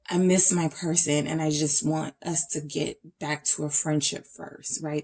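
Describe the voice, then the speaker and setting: A woman's dark, mellow tone at a fairly slow pace. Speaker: tarot reader. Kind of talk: tarot reading to camera.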